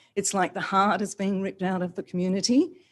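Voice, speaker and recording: Fairly quick and even in intonation, a woman talks at a medium pitch in an Australian accent. The background is quiet. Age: 60s. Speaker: yoga teacher. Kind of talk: public comment at council meeting.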